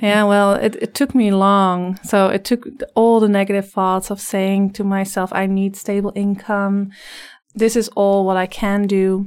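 A woman's medium-pitched voice with a slight Dutch accent, flat and monotone, at a fairly slow pace. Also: very clean recording, silent background. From Netherlands. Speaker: life coach. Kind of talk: interview. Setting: studio.

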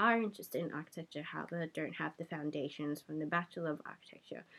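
With an Australian accent, a woman talks very fast on a very clean recording with a silent background. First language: Cantonese. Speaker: podcast host. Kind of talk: casual chat.

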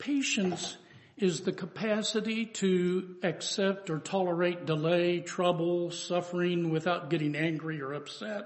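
His pitch is high, with ordinary variation. The man's pace is fairly slow. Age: 70s. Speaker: preacher. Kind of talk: sermon.

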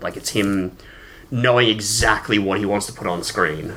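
With an Australian accent, a man speaks at a fairly quick pace in a bright, sharp tone with ordinary pitch variation. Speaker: film podcast co-host. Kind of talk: casual chat.

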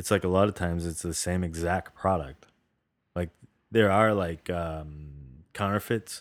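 On a very clean recording with a silent background, a man with an American accent speaks in a very deep, low voice. His pace is moderate and his intonation fairly even. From New England, Boston area. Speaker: podcast co-host. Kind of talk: casual chat.

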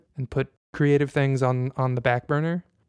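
An ordinary speaking voice with an American accent moves at a fairly quick pace with fairly even intonation, the sound dry and close with no echo. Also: man. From Indiana, US Midwest. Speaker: podcast host. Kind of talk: casual chat.

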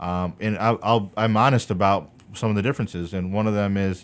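A man speaks with a Chicago accent. His pitch is fairly low and his pace moderate. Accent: Chicago American. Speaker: political candidate. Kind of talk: radio interview.

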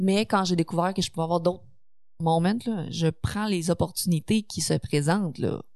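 A woman with a Quebec accent, fairly low in pitch, with ordinary pitch variation and a fairly slow pace. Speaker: streamer and online content creator. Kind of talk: casual chat. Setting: studio.

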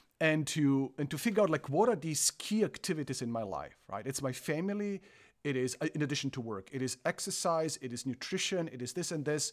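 A man with a Croatian accent, fairly high in pitch, lively in intonation and fairly quick, on a very clean recording with a silent background. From Croatia, partly raised in Germany. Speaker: theology professor. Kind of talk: interview conversation.

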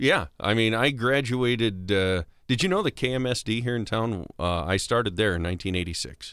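In a very clean recording with a silent background, a medium-pitched man with an American accent talks at a moderate pace with lively intonation and hardly any pauses. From US Midwest, South Dakota. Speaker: state senator and voiceover artist. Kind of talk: casual interview chat. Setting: podcast studio.

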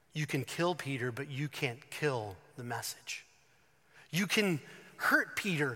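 Speaking very slowly with a Southern US accent, a man uses lively intonation and a bright, sharp tone at a fairly high pitch. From North Carolina. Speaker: pastor. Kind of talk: sermon. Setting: church.

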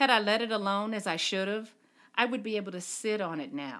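The woman is heard on a very clean recording with a silent background. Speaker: performer. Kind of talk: reading aloud.

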